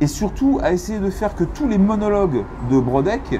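A man's voice with light background noise. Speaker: comic book author. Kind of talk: interview answer. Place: cafe. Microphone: lapel.

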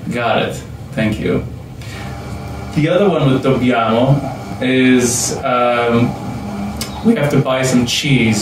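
Over noticeable background noise and audible room echo, a man speaks very slowly with ordinary pitch variation and long, frequent pauses. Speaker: language school director. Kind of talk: casual talk to camera. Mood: friendly, smiling. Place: meeting room.

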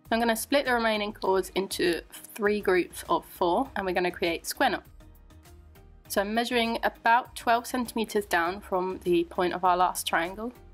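An English-accented woman speaks at a moderate pace with lively intonation. Her pitch is fairly high, and music plays in the background. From England. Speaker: macrame crafter. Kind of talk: craft tutorial voiceover.

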